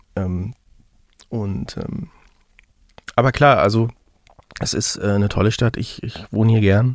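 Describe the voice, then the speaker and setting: Pausing long and often, a man talks at a fairly slow pace with medium pitch and ordinary pitch variation. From Mecklenburg-Western Pomerania, Germany. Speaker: musician. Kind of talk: interview. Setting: video call. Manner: halting, many fillers.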